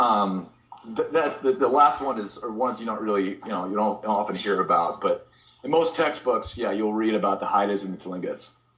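An ordinary speaking voice from a man with an American accent, medium in pitch, fairly quick and lively in intonation. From US Pacific Northwest, Portland. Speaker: artist and designer. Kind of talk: casual interview chat. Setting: call on his phone.

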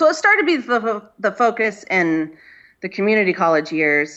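A moderate pace in a Californian accent. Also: woman. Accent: Californian American. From Inland Empire, Southern California. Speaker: painter and artist. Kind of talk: casual interview chat. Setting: video call from home.

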